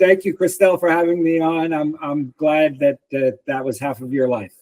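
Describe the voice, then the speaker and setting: In a normal speaking voice, a man talks at a moderate pace with a fairly high pitch, ordinary pitch variation and hardly any pauses, in a dry, close sound with no echo. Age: 60s. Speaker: personal trainer and author. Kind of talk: interview.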